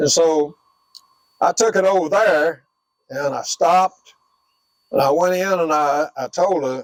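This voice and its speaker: Someone speaks with a Southern US accent, the sound dry and close with no echo. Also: man. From US South, northwest Florida. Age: 80s+. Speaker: war veteran. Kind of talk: oral history interview. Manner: halting.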